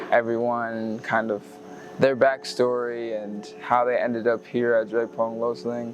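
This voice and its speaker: With music in the background, a man at medium pitch speaks fairly slowly with ordinary pitch variation. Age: 20s. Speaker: university student. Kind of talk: interview testimony.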